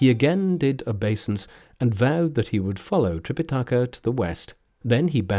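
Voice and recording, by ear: Lively intonation in a natural voice reading aloud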